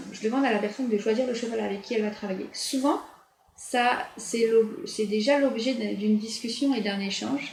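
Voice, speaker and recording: Amid noticeable background noise and audible room echo, a woman with a fairly high pitch speaks at a moderate pace with ordinary pitch variation. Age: 40s. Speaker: nurse and equine therapist. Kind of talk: interview.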